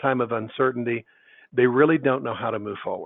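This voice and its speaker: An ordinary speaking voice, from a man at a medium pitch, with ordinary pitch variation. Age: 60s. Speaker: business consultant for contractors. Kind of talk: webinar presentation. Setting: online webinar.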